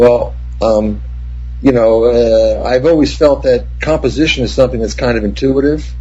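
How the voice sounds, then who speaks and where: With noticeable background noise and audible room echo around him, a man in an American accent speaks at a moderate pace. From New Jersey. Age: 60s. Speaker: cinematographer. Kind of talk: interview.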